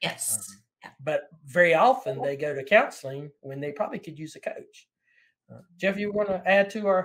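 Using lively intonation and big swings in loudness, a man talks at a moderate pace in a high pitch. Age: 50s. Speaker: podcast host. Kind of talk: interview conversation. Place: home room.

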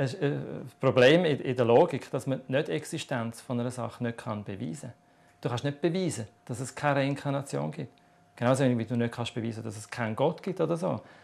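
With vocal fry at a medium pitch, a man talks at a fairly quick pace. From Switzerland. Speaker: author on reincarnation. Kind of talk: TV interview answer. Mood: calm, explanatory. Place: studio.

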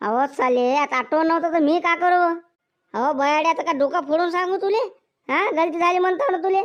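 A woman's put-on character voice, gruff and extremely high-pitched, with lively intonation, very even loudness and a moderate pace. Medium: cartoon. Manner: gruff, quick-tempered, abusive.

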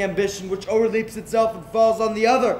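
Over light background noise and audible room echo, a man speaks at a very fast pace with monotone, flat intonation. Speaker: stage actor. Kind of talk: dramatic verse soliloquy. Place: stage. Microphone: camera far.

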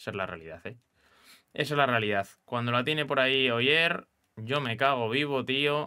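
A man's bright, sharp tone at a moderate pace, with ordinary pitch variation over a quiet background. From Spain. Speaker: gaming youtuber. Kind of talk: gameplay commentary. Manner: animated. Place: home room.

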